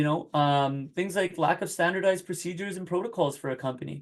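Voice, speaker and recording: Speaking at a very fast pace, the man has a high pitch. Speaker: workplace safety consultant. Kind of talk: webinar presentation. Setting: online webinar. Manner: halting.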